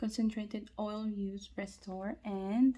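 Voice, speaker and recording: Quiet and somewhat breathy, a woman's voice has a dark, mellow tone and a fairly high pitch. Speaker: freebie unboxing vlogger. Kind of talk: casual talk to camera. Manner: quiet, lowered voice.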